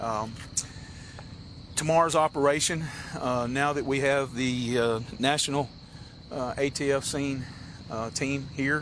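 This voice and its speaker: With a Tennessee accent and fairly high pitch, a man talks in fairly even intonation, leaving long, frequent pauses over noticeable background noise. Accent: US Southern (Tennessee). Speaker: county sheriff. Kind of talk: press briefing. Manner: halting.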